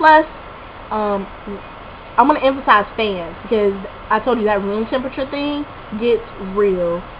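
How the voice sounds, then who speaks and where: Noticeable background noise runs under the speech. Pitch variation is ordinary. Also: woman. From Alabama, Montgomery. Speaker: college student vlogger. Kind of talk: casual advice vlog. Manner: fast; animated.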